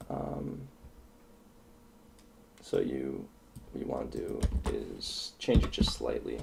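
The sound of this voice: A man with an extremely low pitch and vocal fry, slow pace, slightly mellow tone, ordinary pitch variation, and audible room echo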